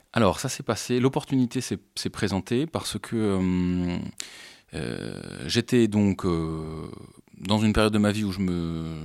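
A man's fairly low-pitched voice with ordinary pitch variation, on a very clean recording with a silent background. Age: 30s. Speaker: comic book artist. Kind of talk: interview. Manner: halting.

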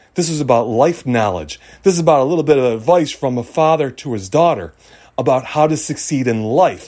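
A man talks at a fairly quick pace with a fairly high pitch. His tone is dark and mellow. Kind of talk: pep talk. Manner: emphatic, building rhythm of short punchy commands.

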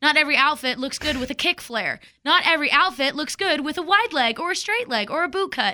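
A woman with an American accent speaks very fast in a high, bright and sharp voice, raised and projected, with lively intonation. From Texas. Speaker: radio morning show co-host. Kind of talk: casual chat.

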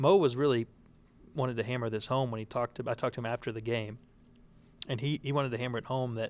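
A man talks very fast at a medium pitch, his intonation fairly even. The recording is very clean and the background silent. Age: 20s. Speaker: sports columnist. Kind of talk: casual sports chat. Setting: kitchen studio.

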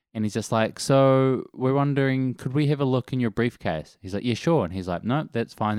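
Recorded very cleanly over a silent background, a man speaks with a New Zealand accent. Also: dry, close sound with no echo. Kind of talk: casual chat. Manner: laid-back.

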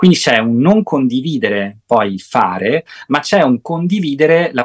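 A man talks with lively intonation in a dry, close sound with no echo. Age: 50s. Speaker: psychotherapist and sexologist. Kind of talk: interview. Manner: hesitant with frequent fillers.

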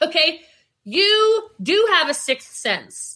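A woman projects a raised voice with a bright, sharp tone and very wide pitch swings. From Maryland, US. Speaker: entrepreneur and business coach. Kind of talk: interview, motivational talk. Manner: animated.

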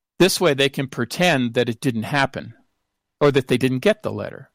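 With an American accent, a man speaks at a fairly high pitch and moderate pace with vocal fry and ordinary pitch variation, in dry, close sound with no echo. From Seattle, US Pacific Northwest. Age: 60s. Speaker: professor and researcher.

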